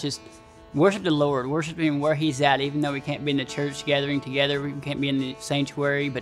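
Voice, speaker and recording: Very fast speech over faint music in the background. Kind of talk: church announcement. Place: church.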